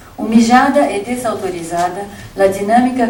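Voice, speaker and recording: A woman with ordinary pitch variation, amid audible room echo and noticeable background noise. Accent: Brazilian. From Brazil. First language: Portuguese (speaking Spanish). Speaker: keynote lecturer, academic. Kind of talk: reading a lecture aloud. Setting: conference with audience. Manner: formal.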